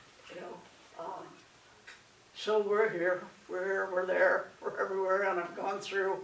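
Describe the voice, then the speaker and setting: A woman talks at a fairly slow pace with long, frequent pauses, monotone flat intonation and big swings in loudness, amid noticeable background noise and audible room echo. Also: medium pitch for a woman. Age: 60s. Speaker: speaker sharing her coming-out story. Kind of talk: personal testimony talk. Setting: presentation at a conference. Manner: halting, with many fillers and repetitions.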